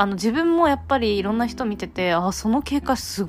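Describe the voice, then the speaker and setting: At a moderate pace, a woman with a medium pitch speaks in very wide pitch swings. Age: 20s. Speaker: podcast host. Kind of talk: casual monologue.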